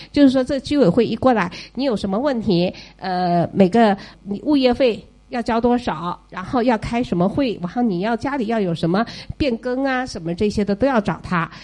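Her tone dark and mellow, a woman speaks at a moderate pace with a fairly high pitch and lively intonation. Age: 50s. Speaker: retired parent of child in US. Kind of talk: audience talk at listener meetup.

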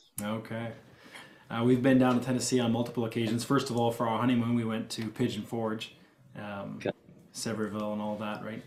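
With an unremarkable speaking voice, a man talks at a fairly quick pace and a medium pitch, keeping his intonation fairly even. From Ontario, Canada. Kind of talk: casual interview.

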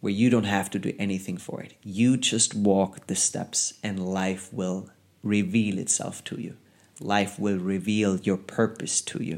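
Speaking in a monotone with flat intonation, a man with a German accent and a fairly low pitch talks at a fairly slow pace on a very clean recording with a silent background. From Germany. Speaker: podcast host, life coach. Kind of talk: solo motivational monologue. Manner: casual, conversational.

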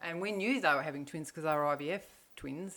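Speaking with an Australian accent, a woman uses a very deep, low pitch with ordinary pitch variation. The recording is very clean, with a silent background. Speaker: mother of podcast hosts. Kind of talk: casual interview.

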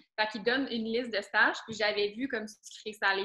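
This woman's pitch is fairly high and her intonation fairly even. She speaks very fast. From Quebec, Laurentians. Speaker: student. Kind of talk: casual interview.

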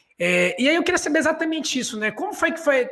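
The voice has a bright, sharp tone. It moves at a fairly quick pace. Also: man. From Belém, Pará. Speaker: podcast host. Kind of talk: casual chat. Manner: halting.

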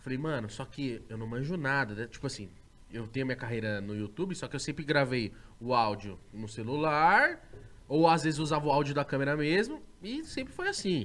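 Here is a man with a normal speaking voice and a fairly high pitch. His intonation is lively, and his pace is moderate. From Osasco, São Paulo state, Brazil. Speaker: podcaster and YouTuber. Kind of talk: casual chat. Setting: studio.

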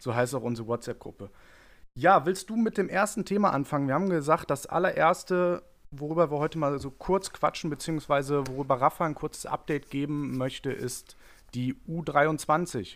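Here a man has a plain, everyday voice at a fairly high pitch. He keeps a moderate pace and ordinary pitch variation on a very clean recording with a silent background. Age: 20s. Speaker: football fan podcast host. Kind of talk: casual chat.

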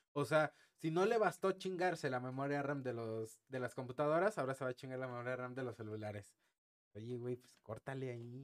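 A man at medium pitch with ordinary pitch variation and big swings in loudness. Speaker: tech podcast host. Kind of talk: casual chat.

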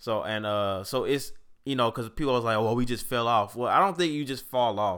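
A man with an American accent, medium pitch and ordinary pitch variation, in an unremarkable speaking voice. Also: fairly quick pace, very clean recording, silent background. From St. Louis, Missouri. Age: 20s. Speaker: podcast co-host. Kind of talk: casual chat.

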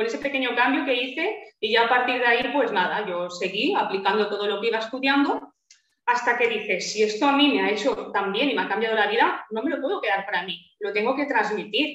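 Using a normal speaking voice, a woman talks at a fairly quick pace with a fairly high pitch. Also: lively intonation. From Spain. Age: 30s. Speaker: naturopath. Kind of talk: interview.

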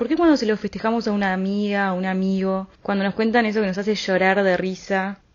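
A woman with a Uruguayan accent, medium in pitch, fairly even in intonation and at a fairly quick pace. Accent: Rioplatense Spanish (Uruguayan). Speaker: podcast host. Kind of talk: casual monologue.

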